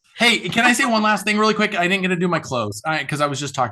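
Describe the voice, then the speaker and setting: With lively intonation and a bright, sharp tone, a man talks over a quiet background. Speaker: corporate marketing trainer. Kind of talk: webinar Q&A and closing remarks. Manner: fast.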